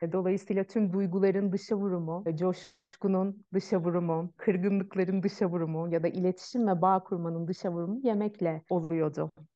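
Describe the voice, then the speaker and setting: A woman's unremarkable speaking voice at medium pitch, with fairly even intonation, a moderate pace and hardly any pauses. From Turkey, Ankara. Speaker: Ayurveda practitioner. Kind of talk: interview conversation. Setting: video call.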